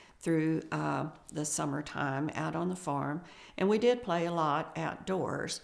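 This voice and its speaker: With vocal fry and fairly even intonation, a woman speaks at a fairly low pitch. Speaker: family elder recalling childhood. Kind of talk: oral history interview. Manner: halting, with frequent fillers.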